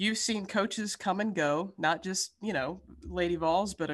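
The speaker keeps a moderate pace against a quiet background. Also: woman. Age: 60s. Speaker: podcast co-host. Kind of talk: interview. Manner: animated.

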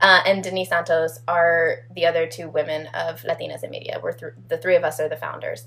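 Speech runs at a fairly quick pace with hardly any pauses and big swings in loudness over noticeable background noise. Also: woman. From Atlanta, Georgia (city proper). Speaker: actor and organization co-founder. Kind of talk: casual interview.

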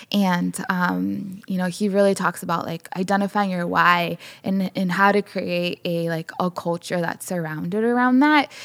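A woman with a plain, everyday voice and an American accent, medium in pitch, at a moderate pace with hardly any pauses and ordinary pitch variation, on a very clean recording with a silent background. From Chicago, southwest side. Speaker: podcast co-host, photographer and storyteller. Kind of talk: interview, personal testimony.

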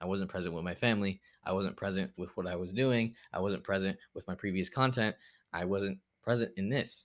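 In a very clean recording with a silent background, a man with a plain, everyday voice talks fairly quickly at a fairly low pitch, with ordinary pitch variation. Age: 20s. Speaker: podcast host. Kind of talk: unscripted solo monologue. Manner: casual, rambling with filler words.

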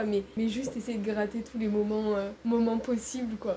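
A woman with a fairly high pitch keeps a moderate pace while noticeable background noise plays behind her. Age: 20s. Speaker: civic service volunteer at an NGO. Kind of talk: casual interview.

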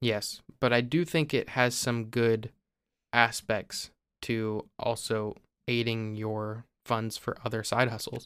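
A man with a Midwestern US accent speaks very slowly at a medium pitch with fairly even intonation. The recording is very clean, with a silent background. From Ohio. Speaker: podcast co-host. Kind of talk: casual chat.

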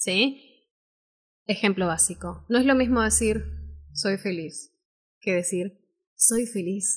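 A woman speaks at a very slow pace with vocal fry and ordinary pitch variation, leaving long, frequent pauses, in a very clean recording with a silent background. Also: medium pitch for a woman. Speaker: voice-over artist and speaking teacher. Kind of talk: live-stream workshop talk.

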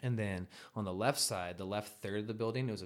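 A man with an American accent speaks in an ordinary speaking voice. His pitch is fairly low and his intonation fairly even. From US Pacific Northwest (eastern Washington / northern Idaho). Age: 20s. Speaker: rapper. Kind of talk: casual chat.

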